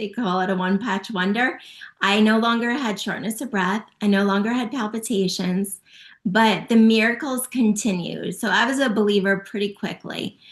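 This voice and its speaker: In a quiet background, a woman with an ordinary speaking voice speaks at a fairly high pitch with fairly even intonation. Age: 50s. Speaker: natural health product promoter. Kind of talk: testimony.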